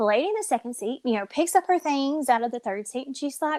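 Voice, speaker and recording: A woman with a Kentucky accent speaks at a high pitch, with an animated tone and lively intonation. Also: dry, close sound with no echo. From rural Kentucky. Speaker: podcast co-host. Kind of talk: casual chat. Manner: animated storytelling.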